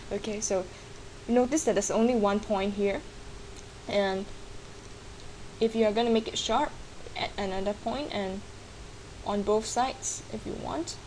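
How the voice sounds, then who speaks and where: Over noticeable background noise, a woman with a non-native accent talks at a moderate pace and a medium pitch, with ordinary pitch variation and long, frequent pauses. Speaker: digital artist. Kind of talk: screen-recorded software tutorial.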